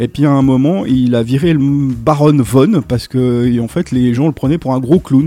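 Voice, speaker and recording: His tone is dark and mellow. The man's pitch is medium, with ordinary variation. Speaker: radio co-host. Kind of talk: casual radio chat.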